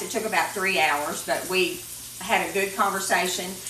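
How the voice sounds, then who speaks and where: With a Kentucky accent and ordinary pitch variation, a woman talks over light background noise in a room with audible echo. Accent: southern US (Kentucky). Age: 60s. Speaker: cooking show host. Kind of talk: cooking tutorial with casual chat; casual vlog chat. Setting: home kitchen. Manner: casual, conversational with fillers. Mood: warm, reflective storytelling. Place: kitchen. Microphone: camera far.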